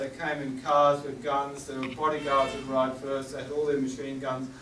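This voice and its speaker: A man with an Australian accent at a moderate pace, plus noticeable background noise and audible room echo. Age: 70s. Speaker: war artist. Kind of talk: gallery talk.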